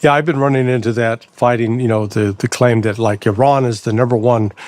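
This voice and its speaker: A man's normal speaking voice, a normal speaking voice at medium pitch with ordinary pitch variation. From United States. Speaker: podcast host, ex-intelligence analyst. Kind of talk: interview.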